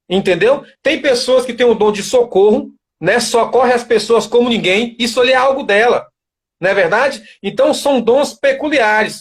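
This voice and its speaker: A man's extremely high-pitched voice with ordinary pitch variation, at a moderate pace. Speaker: author of a book on military service and faith. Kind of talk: live interview. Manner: hesitant, repeats words.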